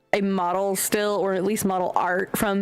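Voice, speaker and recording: A woman with an American accent speaks fairly slowly at a medium pitch, in a monotone, flat intonation. Noticeable background noise runs behind her. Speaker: streamer. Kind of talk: casual chat.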